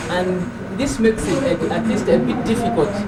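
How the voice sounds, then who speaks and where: A man's voice against noticeable background noise. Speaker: rural community member from the Luansobe Valley. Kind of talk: interview answer.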